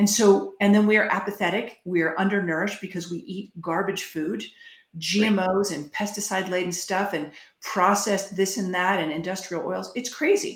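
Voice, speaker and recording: A woman's medium-pitched, normal speaking voice with fairly even intonation. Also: moderate pace. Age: 50s. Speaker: health freedom advocate. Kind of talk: interview.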